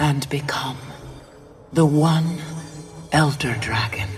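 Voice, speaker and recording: This is a put-on character voice at a low-to-middle pitch. It moves at a very slow pace. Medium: video game.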